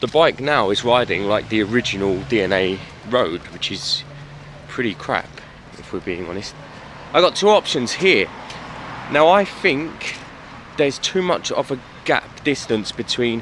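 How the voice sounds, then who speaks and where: Long, frequent pauses break up this man's speech. Light background noise sits under a dry sound with no echo. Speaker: motorcycle hobby vlogger. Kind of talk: casual vlog chat. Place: street. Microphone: phone near.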